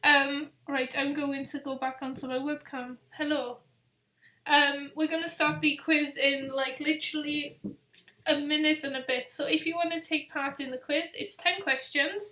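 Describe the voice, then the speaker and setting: A woman's raised, projected voice, high-pitched, in a strong Welsh accent, at a moderate pace with fairly even intonation. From Wales. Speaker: travel vlogger. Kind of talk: live stream chat. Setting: webcam live stream. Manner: casual, hesitant.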